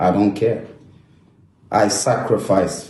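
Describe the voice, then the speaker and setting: With a French accent, a man speaks in a very deep, low, dark, mellow voice that is somewhat breathy. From France. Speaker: former footballer. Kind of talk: emotional social media monologue to camera.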